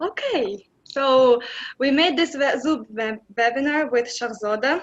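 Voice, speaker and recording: The woman's pitch varies an ordinary amount as she talks. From Uzbekistan, Andijan. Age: 20s. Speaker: exchange program alumna. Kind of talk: webinar presentation. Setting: video call.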